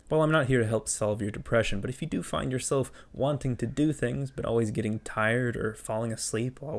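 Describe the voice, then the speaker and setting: A man speaks at a fairly quick pace with ordinary pitch variation in an ordinary speaking voice. The recording is very clean, with a silent background. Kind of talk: comedic talk to camera.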